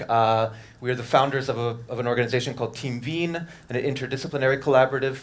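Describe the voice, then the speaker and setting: A man's medium-pitched voice in a New York accent, very fast, with ordinary pitch variation. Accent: New York American English. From US, New York City. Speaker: architect. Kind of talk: lecture.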